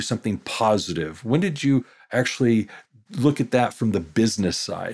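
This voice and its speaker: On a very clean recording with a silent background, a man with a dark, mellow tone speaks at medium pitch and a fairly quick pace. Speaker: podcast host, accounting education company president. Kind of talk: interview.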